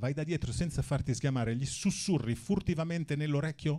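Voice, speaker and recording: A man's somewhat breathy voice, dark and mellow in tone, moves at a moderate pace. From Milan, northern Italy. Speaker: stand-up comedian. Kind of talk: stand-up. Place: stage. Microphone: handheld.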